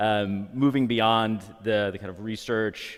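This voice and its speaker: This man speaks with a fairly low pitch at a moderate pace. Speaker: psychology professor. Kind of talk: lecture. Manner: projects loudly.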